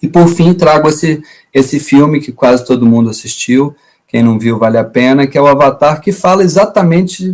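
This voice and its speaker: A Minas Gerais accent at a moderate pace with ordinary pitch variation. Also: man. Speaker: environmental education professor. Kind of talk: lecture.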